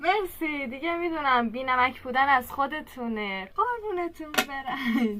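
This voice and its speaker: A woman's raised, projected voice with a Kermani accent, high in pitch with very wide pitch swings, over noticeable background noise. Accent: Kermani Persian. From Iran, Kerman. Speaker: reaction video creator. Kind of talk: casual reaction commentary. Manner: animated.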